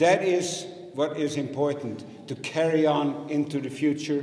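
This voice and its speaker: Fairly high in pitch, a man speaks with ordinary pitch variation. Noticeable background noise and audible room echo fill the recording. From Netherlands. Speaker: election candidate. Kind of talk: campaign speech at candidates debate. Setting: public meeting with audience.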